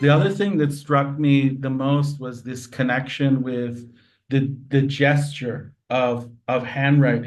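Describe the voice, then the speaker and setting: A man's flat, monotone delivery at a medium pitch and fairly slow pace, with audible room echo. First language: not English. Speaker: university lecturer and interviewer. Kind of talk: interview conversation.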